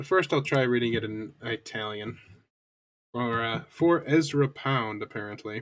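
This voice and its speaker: This man has an American accent and a medium pitch. He talks at a moderate pace. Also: ordinary pitch variation. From US. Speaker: streamer. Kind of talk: live stream chat and reading aloud. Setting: live stream. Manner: halting.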